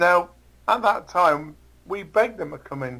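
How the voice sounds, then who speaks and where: A man with an English accent speaks at a fairly slow pace. His voice is high and bright with a sharp tone and ordinary pitch variation. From England. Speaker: interview guest. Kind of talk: interview. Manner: halting.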